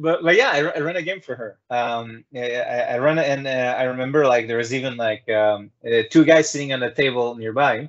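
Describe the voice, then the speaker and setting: A man speaks at a medium pitch. His pace is fairly quick, with hardly any pauses. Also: ordinary pitch variation. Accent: non-native. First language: not English. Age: 30s. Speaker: talk show host. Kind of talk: casual chat. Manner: halting, many fillers and repeats.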